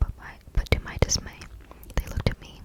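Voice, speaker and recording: A woman whispers fairly quickly, with noticeable background noise behind her. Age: 20s. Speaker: ASMR creator. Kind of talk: story reading. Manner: whispered.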